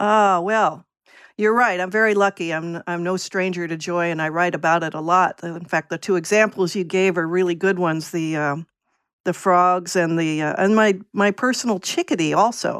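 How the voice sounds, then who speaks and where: A woman with an American accent speaks in an ordinary speaking voice, fairly low in pitch, at a moderate pace and with fairly even intonation. The recording is very clean, with a silent background. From Virginia. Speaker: essayist, former letter carrier. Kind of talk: casual interview.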